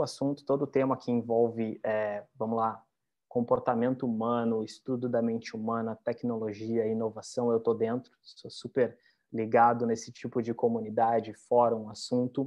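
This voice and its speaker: Pitched in the medium range, a man's voice proceeds fairly slowly. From Porto Alegre, southern Brazil. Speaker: psychologist and tech recruiter. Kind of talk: webinar self-introduction.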